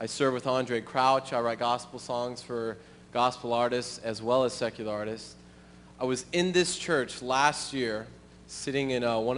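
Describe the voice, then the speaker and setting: A man with an American accent and a medium pitch talks at a moderate pace, his intonation fairly even. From US Midwest, Springfield, Missouri. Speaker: church musician and missionary. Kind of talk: testimony. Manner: halting, many um and uh fillers.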